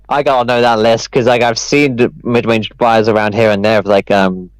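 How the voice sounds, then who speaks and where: In a New Zealand accent, a man speaks at a medium pitch with fairly even intonation. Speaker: esports commentator. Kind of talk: casual chat.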